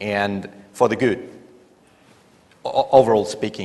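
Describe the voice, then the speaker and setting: A man with a Spanish accent speaks at a fairly slow pace and a medium pitch. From Spain. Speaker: airline pilot. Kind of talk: panel discussion.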